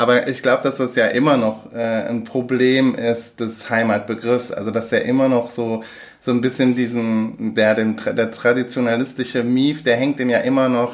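Over noticeable background noise, a man speaks at a moderate pace in a medium-pitched, monotone, flat delivery. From Germany, Aachen (Rhineland). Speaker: podcast co-host. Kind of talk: casual chat. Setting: same room, recorded together. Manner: halting, many fillers.

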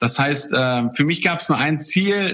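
At a moderate pace, a man with a fairly high pitch speaks in an ordinary speaking voice. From Poland. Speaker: former pro cyclist and entrepreneur. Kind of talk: interview.

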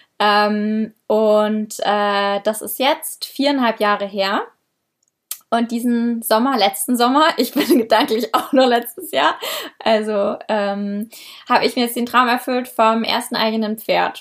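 This woman's fairly high voice, with ordinary pitch variation, unfolds at a very slow pace. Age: 20s. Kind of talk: casual interview.

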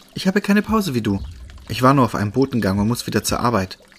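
Reading aloud, the speaker sounds natural.

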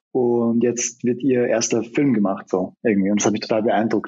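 This man talks at a fairly quick pace with a medium pitch and a slight Austrian accent. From Austria, Vienna. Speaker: film director and screenwriter. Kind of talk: interview. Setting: remote call.

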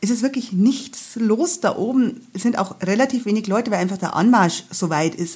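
A woman with a slight Bavarian accent speaks at a moderate pace in a fairly high, dark and mellow voice that is somewhat breathy, with ordinary pitch variation. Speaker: travel guide author and hiking guide. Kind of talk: casual chat.

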